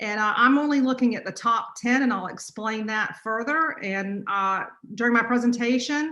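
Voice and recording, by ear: In a North Carolina accent, a woman speaks at a moderate pace and fairly high pitch, her tone bright and sharp, with ordinary pitch variation and audible room echo. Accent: North Carolina, US Southern.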